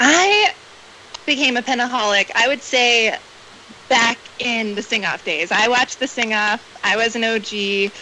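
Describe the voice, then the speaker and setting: A woman with an American accent speaks fairly slowly in an unremarkable speaking voice, her pitch fairly high with ordinary variation. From US South, Atlanta, Georgia. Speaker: fan guest. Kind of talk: casual chat.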